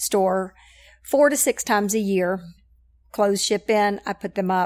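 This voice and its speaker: This woman has a normal speaking voice with an American accent, medium pitch and fairly even intonation. The recording is very clean, with a silent background. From Knoxville, Tennessee (US South). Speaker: church connections director. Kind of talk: casual interview.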